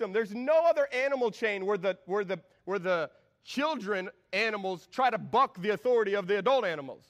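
The voice reads aloud in a natural way.

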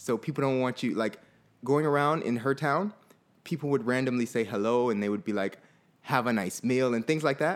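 A man with an American accent talks fairly quickly in an unremarkable speaking voice. His pitch sits in the medium range and his loudness stays very even. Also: ordinary pitch variation. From Fort Lauderdale, Florida. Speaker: podcast co-host. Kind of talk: casual chat.

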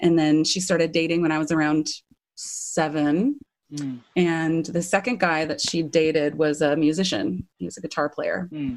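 A woman's very deep, low voice at a moderate pace, with ordinary pitch variation, in a very clean recording against a silent background. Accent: Californian. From US West Coast, Orange County, California. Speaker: professional backing singer. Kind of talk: interview.

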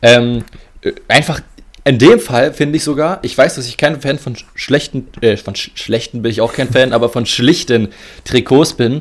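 This man has an ordinary speaking voice at a medium pitch, using ordinary pitch variation and a moderate pace, with big swings in loudness. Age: 20s. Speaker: football podcast co-host. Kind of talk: casual chat.

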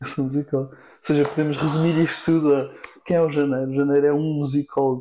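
A man talks at a very fast pace in a fairly high pitch, with a dark, mellow tone and monotone, flat intonation. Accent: European Portuguese. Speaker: singer-songwriter and producer. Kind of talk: casual chat.

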